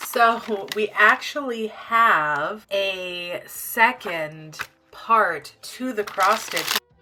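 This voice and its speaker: Over music in the background, a woman speaks at a very slow pace with a fairly high pitch and ordinary pitch variation. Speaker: crochet vlogger. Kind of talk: casual vlog narration. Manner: relaxed.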